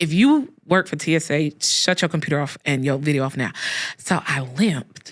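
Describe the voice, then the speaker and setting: Using a put-on character voice, the speaker talks in a raspy middle pitch at a moderate pace. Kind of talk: confessional, joking.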